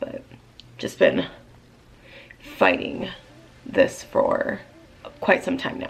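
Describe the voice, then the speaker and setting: A woman speaks very slowly, with long, frequent pauses and big swings in loudness. Noticeable background noise is audible. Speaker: beauty vlogger. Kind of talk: makeup tutorial. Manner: casual, chatty.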